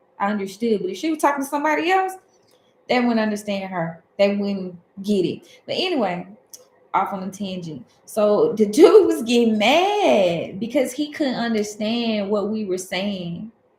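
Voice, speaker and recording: A woman with a southern Alabama accent, fairly high pitch, somewhat breathy, with lively intonation at a moderate pace. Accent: Southern Alabama dialect, runs words together. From US South, Alabama. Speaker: tarot reader. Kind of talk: livestream casual talk. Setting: livestream.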